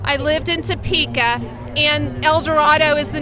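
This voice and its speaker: A Midwestern American accent amid crowd noise in the background, with audible room echo. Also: woman. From Kansas and Oklahoma. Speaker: interviewer. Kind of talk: casual chat.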